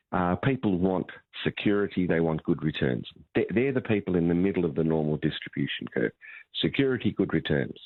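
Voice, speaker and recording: The speaker has an Australian accent and lively intonation. The pace is fairly quick and the loudness very even. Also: man, very deep, low pitch for a man. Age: 60s. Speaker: financial advisor. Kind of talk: radio talkback interview.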